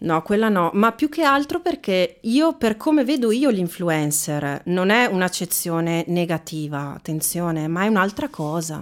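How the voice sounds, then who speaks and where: Very wide pitch swings run through fairly slow speech on a very clean recording with a silent background. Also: woman, medium pitch for a woman. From Veneto, Italy. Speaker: actress and trainer. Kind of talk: casual interview chat.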